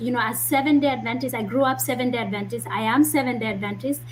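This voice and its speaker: Noticeable noise fills the background. A woman is talking. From Kenya (Kisii, Nyamira). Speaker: medical doctor. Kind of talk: interview.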